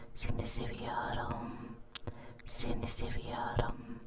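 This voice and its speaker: Over noticeable background noise, someone is whispering at a very slow pace. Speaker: ASMR artist. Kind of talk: ASMR trigger words. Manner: repetitive, slow.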